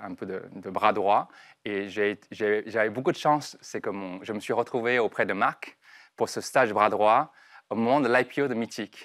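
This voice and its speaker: Against a quiet background, the voice moves with ordinary pitch variation. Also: man. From southern China (Guangdong). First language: Chinese (Cantonese) (speaking French). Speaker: entrepreneur; guest. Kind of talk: interview. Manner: halting. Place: studio. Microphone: lapel.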